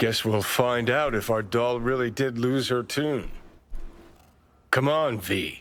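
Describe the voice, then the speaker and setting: Using a put-on character voice at a medium pitch, a man goes at a fairly slow pace with long, frequent pauses. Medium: video game. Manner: sarcastic, crude.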